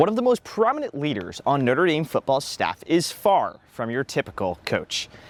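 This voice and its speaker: With hardly any pauses, a man with a fairly high pitch and vocal fry swings his pitch very widely. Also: moderate pace. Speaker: student broadcaster. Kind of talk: news reporter package narration.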